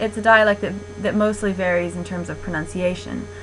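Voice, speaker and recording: A woman talks at a moderate pace. Room echo is audible, and background noise is noticeable. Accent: Midwestern. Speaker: linguistics lecturer. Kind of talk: lecture. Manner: frequent 'um' fillers.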